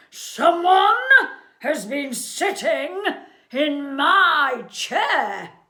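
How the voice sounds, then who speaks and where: In a put-on character voice, the speaker growls at a high pitch with very wide pitch swings and a very slow pace. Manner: gruff, indignant.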